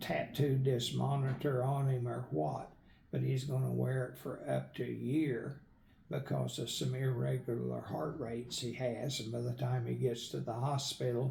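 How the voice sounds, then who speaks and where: An American accent at a fairly slow pace, with audible room echo and noticeable background noise. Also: man. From Northern Oklahoma. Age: 70s. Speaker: retired medical worker and author. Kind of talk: interview.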